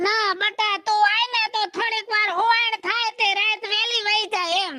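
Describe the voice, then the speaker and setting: Someone does a put-on character voice in a monotone, flat intonation with very even loudness. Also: woman, extremely high pitch for a woman, moderate pace. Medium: comedy sketch. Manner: folksy, chatty.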